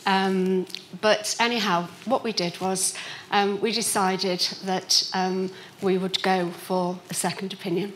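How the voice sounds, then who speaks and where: A woman with a Liverpool accent speaks at a medium pitch with monotone, flat intonation. Noticeable background noise runs underneath. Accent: Liverpool (Scouse). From Liverpool, England. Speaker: patient. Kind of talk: patient testimony talk.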